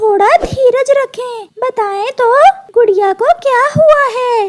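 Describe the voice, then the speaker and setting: A cartoonish character voice at an extremely high pitch and a very slow pace. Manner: calm, reassuring.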